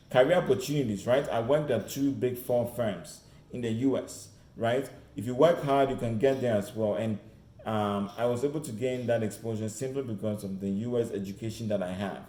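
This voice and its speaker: With an American accent, a man speaks at a fairly quick pace in a medium pitch, his pitch varying in an ordinary way amid audible room echo. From Ghana. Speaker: career mentor. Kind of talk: online presentation. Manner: animated.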